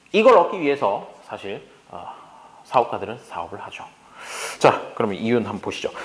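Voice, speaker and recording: A man at a medium pitch, very wide pitch swings and big swings in loudness, long, frequent pauses, audible room echo and noticeable background noise. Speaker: economics lecturer. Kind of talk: lecture. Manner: fast.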